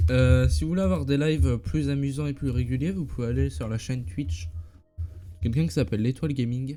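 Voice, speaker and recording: A man's medium-pitched voice at a fairly quick pace, with very wide pitch swings and music in the background. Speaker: live streamer. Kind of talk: casual live stream commentary.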